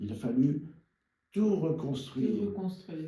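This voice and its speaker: Somewhat breathy, a man talks in a dark, mellow tone with lively intonation. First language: French. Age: 80s+. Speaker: cognac producer. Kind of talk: interview answer.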